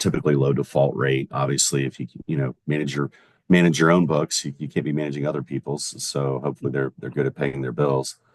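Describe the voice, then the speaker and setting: The sound is dry and close, with no echo. A man speaks in a very deep, low pitch. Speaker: commercial lender. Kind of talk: podcast interview. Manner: loud.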